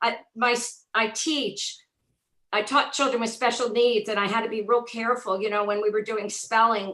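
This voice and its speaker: A woman with a New Jersey accent talks at a moderate pace, her fairly high voice bright and sharp in tone but flat and monotone in intonation. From North Jersey, US. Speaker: former special education teacher. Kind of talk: casual chat.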